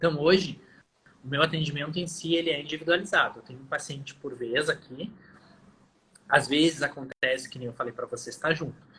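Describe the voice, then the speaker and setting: A man speaks fairly quickly at a fairly high pitch, in a bright, sharp tone. His intonation stays fairly even, and he leaves long, frequent pauses. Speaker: physiotherapist. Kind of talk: interview in a live stream. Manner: fast.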